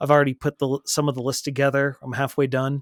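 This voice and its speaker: At a fairly quick pace, a man with an American accent speaks at a fairly high pitch, the sound dry and close with no echo in a very clean recording with a silent background. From Texas. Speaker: podcast co-host and streamer. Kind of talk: casual chat.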